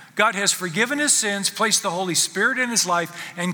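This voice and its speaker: Against noticeable background noise, a man uses a raised, projected voice with high pitch and lively intonation. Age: 70s. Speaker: pastor. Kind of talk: sermon. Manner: halting.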